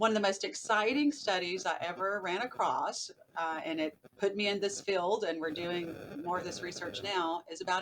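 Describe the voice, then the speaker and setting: Speaking at a moderate pace, a woman with a Southern US accent uses a medium pitch and ordinary pitch variation. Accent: Southern US, still noticeable. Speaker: behavioral neuroscientist and author. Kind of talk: podcast interview.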